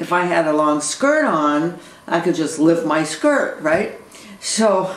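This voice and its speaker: A woman with a fairly low pitch is heard over light background noise, with audible room echo. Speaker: video blogger. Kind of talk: casual vlog chat. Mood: amused, relaxed. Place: home room. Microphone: webcam.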